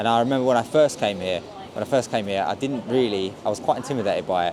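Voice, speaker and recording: A man in an English accent speaks at a very fast pace. His intonation is lively over noticeable background noise. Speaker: travel vlogger. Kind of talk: casual vlog narration. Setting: hotel.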